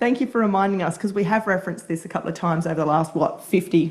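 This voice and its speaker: The voice belongs to a woman and sits at a medium pitch. It has a somewhat breathy quality. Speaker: podcast co-host. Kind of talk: casual chat.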